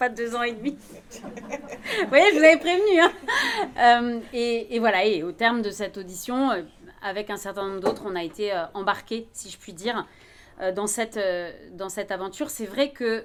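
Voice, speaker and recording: A woman's fairly high voice at a moderate pace, with ordinary pitch variation and big swings in loudness. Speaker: philosopher, commission member, conference speaker. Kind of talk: conference talk. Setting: conference with audience. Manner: trembling voice.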